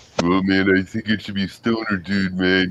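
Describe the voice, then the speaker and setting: Putting on a character voice, a man speaks at a moderate pace with a very deep, low pitch and flat, monotone intonation. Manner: laid-back, relaxed.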